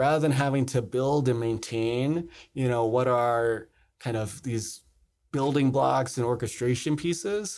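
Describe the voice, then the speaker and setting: This man has an unremarkable speaking voice at medium pitch, with an American accent. He talks at a fairly slow pace on a very clean recording with a silent background. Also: ordinary pitch variation. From US East Coast, South Jersey. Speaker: tech company founder and CEO. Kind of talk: interview.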